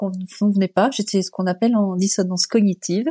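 A woman speaks in a dark, mellow tone, the sound dry and close with no echo and the background quiet. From France, Annecy (Haute-Savoie). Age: 50s. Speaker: environmental NGO director. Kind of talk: interview. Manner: hesitant, with fillers.

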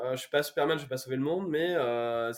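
With fairly even intonation, a man speaks in a fairly high voice. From France, Corrèze (Brive-la-Gaillarde). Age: 30s. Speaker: startup founder. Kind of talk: casual interview.

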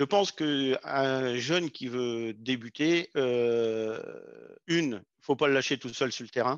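With a dry, close sound free of echo and a quiet background, a man at medium pitch speaks at a very slow pace with ordinary pitch variation. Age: 50s. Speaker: agricultural sales technician. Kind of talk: podcast interview. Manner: hesitant, with frequent fillers.

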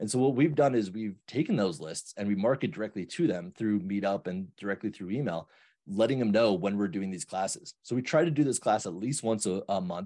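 A man's fairly low-pitched, dark, mellow voice with an American accent, lively intonation and a fairly quick pace with hardly any pauses, over a quiet background. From New York. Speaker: real estate investor and loan officer. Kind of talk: casual interview.

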